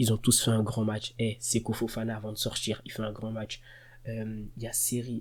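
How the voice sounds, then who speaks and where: A man with a somewhat breathy voice speaks at a medium pitch in a very clean recording with a silent background. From Côte d'Ivoire. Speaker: football fan youtuber. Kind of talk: match reaction monologue. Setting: at home at night. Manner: soft-spoken; animated.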